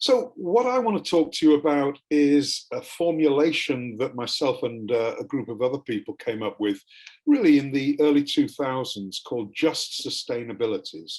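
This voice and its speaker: He speaks with an English accent at a moderate pace, with hardly any pauses. The man's fairly high pitch moves with lively intonation. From England. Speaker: academic panelist. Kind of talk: panel presentation.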